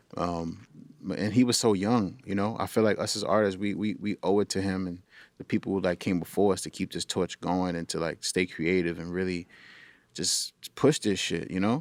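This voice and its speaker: A man with a New York accent speaks at a moderate pace in a very deep, low pitch, the recording very clean with a silent background and a dry, close sound with no echo. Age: 30s. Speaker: podcast host and music artist. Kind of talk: casual chat. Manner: animated.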